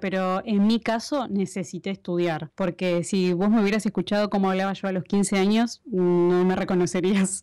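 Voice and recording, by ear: A woman speaks at a moderate pace with hardly any pauses, her medium-pitched voice dark and mellow, with fairly even intonation and very even loudness. The sound is dry and close with no echo, a very clean recording against a silent background.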